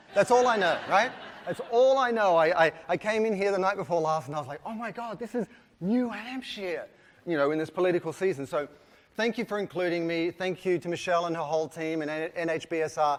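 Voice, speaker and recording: An animated, fairly quick delivery in an Australian accent, with ordinary pitch variation. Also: man, high pitch for a man. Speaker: keynote speaker, brand consultant. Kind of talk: keynote talk. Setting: conference stage with audience.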